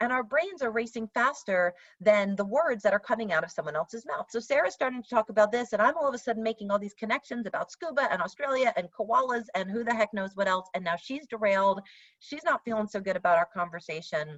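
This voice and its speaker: A woman with an American accent, fairly high in pitch, at a very fast pace with lively intonation. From New York. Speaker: workshop facilitator. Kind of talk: workshop presentation.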